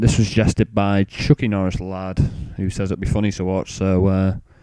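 A man with an English accent speaks in a dark, mellow tone at a moderate pace, in a dry, close sound with no echo. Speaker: gaming youtuber. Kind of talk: gameplay commentary intro.

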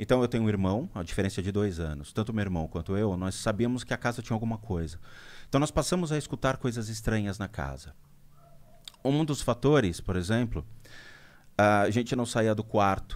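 A man with an unremarkable speaking voice talks at a moderate pace and fairly low pitch, his intonation lively. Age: 40s. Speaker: spiritual medium; podcast guest. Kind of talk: interview storytelling. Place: studio. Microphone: studio mic.

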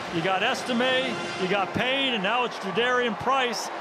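A man speaks at a moderate pace in a raised, projected voice, extremely high in pitch and energetic in tone. Background noise is noticeable. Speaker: color analyst. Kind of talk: live game analysis, explaining plays between snaps. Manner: energetic, emphatic, conversational, praising players.

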